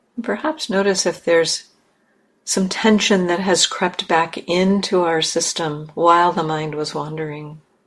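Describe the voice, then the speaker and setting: An ordinary speaking voice proceeds at a fairly slow pace with fairly even intonation, on a very clean recording with a silent background. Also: woman, fairly low pitch for a woman. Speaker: meditation teacher. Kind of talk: gentle guided meditation, spoken invitations to notice the body and breath. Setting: meditation hall. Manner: slow and unhurried, with long pauses between phrases; soft-spoken and kindly reassuring, gently inviting.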